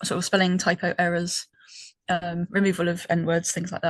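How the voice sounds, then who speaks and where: A woman with a British accent speaks at a moderate pace in a fairly low, monotone, flat voice, the sound dry and close with no echo against a quiet background. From Britain. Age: 30s. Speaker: podcast co-host. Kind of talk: casual chat. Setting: call with co-hosts. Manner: hesitant, many ums.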